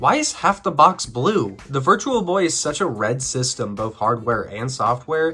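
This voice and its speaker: With music in the background, a man speaks at a moderate pace and a fairly high pitch. He makes very wide pitch swings and hardly any pauses. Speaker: video game reviewer. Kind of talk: video essay narration.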